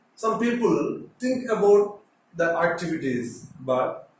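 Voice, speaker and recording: A man's voice carries audible room echo over light background noise. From India, Telugu-speaking states. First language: Telugu. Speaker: teacher. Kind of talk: lecture. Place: classroom. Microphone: phone near.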